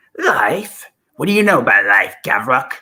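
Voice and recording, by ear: A female-sounding voice performs a put-on character voice, squeaky and raspy. The pace is moderate.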